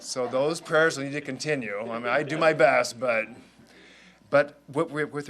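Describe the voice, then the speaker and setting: This is an ordinary speaking voice, fairly slow in pace with ordinary pitch variation. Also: man. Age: 60s. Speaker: bishop-elect. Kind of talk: press conference remarks.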